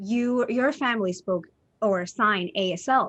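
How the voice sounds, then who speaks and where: A woman's medium-pitched voice with a Spanish accent and ordinary pitch variation, over a quiet background. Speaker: interviewer. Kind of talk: interview.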